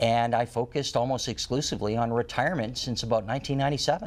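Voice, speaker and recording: A man speaks at a fairly quick pace in a medium pitch, with a plain, everyday voice. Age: 60s. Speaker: retirement planning expert and author. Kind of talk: talk show interview.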